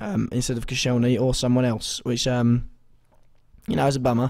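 With vocal fry and a slightly mellow tone, a man speaks with little pitch movement. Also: medium pitch for a man, moderate pace.

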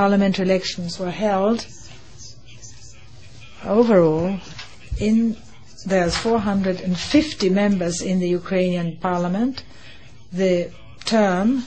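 Long, frequent pauses break up a woman's very slow speech. There is light background noise. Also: ordinary pitch variation. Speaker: conference host or his interpreter. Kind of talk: opening speech. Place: hall. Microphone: podium.

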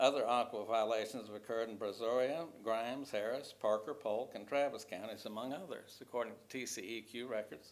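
A man with a West Texas accent speaks at a fairly quick pace. His pitch is medium, with ordinary pitch variation. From Texas, Odessa. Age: 70s. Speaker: retired teacher speaking at public comment. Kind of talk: public comment at council meeting. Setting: city council chamber. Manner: formal, prepared statement.

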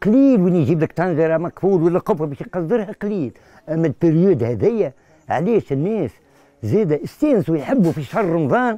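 High-pitched with very wide pitch swings, a man speaks at a moderate pace in a dry sound with no echo. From Tunisia, Tunis. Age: 60s. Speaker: coppersmith artisan. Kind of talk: interview. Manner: casual. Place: workshop. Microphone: lapel.

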